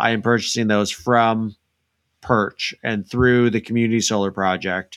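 Heard in a very clean recording against a silent background, a man speaks fairly slowly in a normal speaking voice at a medium pitch. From Illinois. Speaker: podcast host. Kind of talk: interview.

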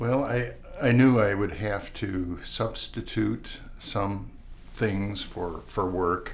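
With audible room echo, a man talks at a very slow pace, his fairly low pitch showing ordinary pitch variation. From US Midwest (Wisconsin, farm upbringing). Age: 70s. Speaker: retired estate planning lawyer. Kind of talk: casual interview. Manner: halting.

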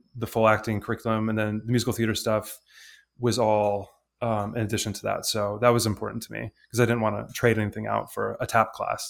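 A medium-pitched man in a Midwestern US accent speaks with monotone, flat intonation in a very clean recording with a silent background. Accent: General American, Midwest. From Michigan, suburban Detroit. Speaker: actor. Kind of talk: casual chat.

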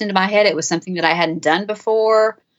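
A woman with a plain, everyday voice talks fairly quickly at a medium pitch, her intonation lively. The background is quiet. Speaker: author. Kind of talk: interview.

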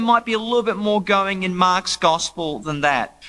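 In an Australian accent, the speaker uses a raised, projected voice at a moderate pace. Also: man. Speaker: debate panelist, biblical scholar. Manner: humorous, casual.

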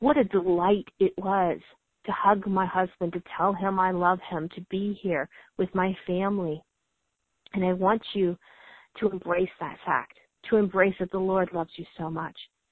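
A woman talks at a moderate pace in a normal speaking voice. Her pitch is medium and her intonation fairly even. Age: 40s. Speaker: homeschooling mom with chronic illness, military veteran. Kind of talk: interview.

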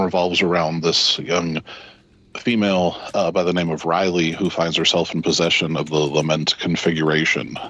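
A man's very deep, low-pitched voice. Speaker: movie reviewer panelist. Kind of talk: casual banter and movie review.

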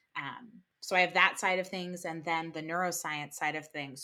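With an American accent, a woman speaks in a bright, sharp tone at a fairly low pitch with ordinary pitch variation, on a very clean recording with a silent background. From New Jersey. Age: 30s. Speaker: music therapist and yoga teacher. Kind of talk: casual interview. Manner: animated.

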